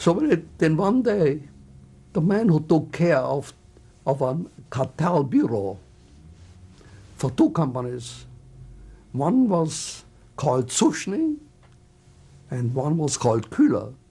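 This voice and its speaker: On a very clean recording with a silent background, a man talks at a very slow pace with long, frequent pauses. His fairly high, somewhat breathy voice moves in very wide pitch swings. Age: 80s+. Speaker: Holocaust survivor. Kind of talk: oral history interview answer.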